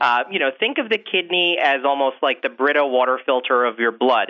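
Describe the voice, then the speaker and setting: A man with a plain, everyday voice and an American accent speaks at a fairly quick pace, fairly high in pitch, with ordinary pitch variation. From upstate New York. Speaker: physician, kidney specialist. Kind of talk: interview.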